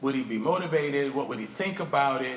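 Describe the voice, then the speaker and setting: Moderate-paced talk from a man with an American accent, amid noticeable background noise and audible room echo. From Wisconsin, US. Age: 60s. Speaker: pastor and speaker. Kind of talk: keynote speech. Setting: stage with audience.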